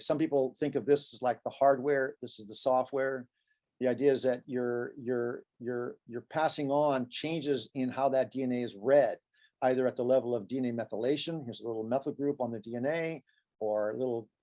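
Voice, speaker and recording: A man with a medium pitch and a dark, mellow tone talks at a fairly quick pace, his intonation fairly even but his loudness swinging widely. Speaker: professor. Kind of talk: lecture. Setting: video call. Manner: fast; halting.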